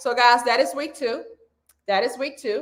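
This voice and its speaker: A woman speaks in a raised, projected voice at a fairly quick pace, her tone animated, bright and sharp. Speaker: weight loss coach. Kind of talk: live stream coaching talk. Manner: loud.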